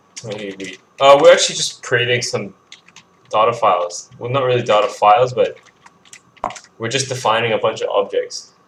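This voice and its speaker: Someone mumbles at a moderate pace, with long, frequent pauses. Noticeable background noise sits under the voice. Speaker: game developer streaming coding. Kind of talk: live coding stream, casual narration. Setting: live stream. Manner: mumbling; halting, with repetitions and fillers.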